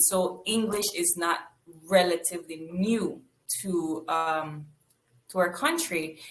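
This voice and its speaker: A woman with a fairly low pitch speaks very slowly, with fairly even intonation and long, frequent pauses. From Belize. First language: Spanish. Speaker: archaeologist. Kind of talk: interview.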